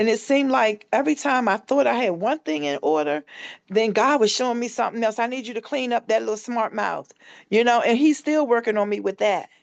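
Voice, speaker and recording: Against a quiet background, a woman talks at a fairly quick pace. Her tone is animated and her intonation lively. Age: 50s. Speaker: shooting survivor and founder of a transitional home. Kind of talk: interview.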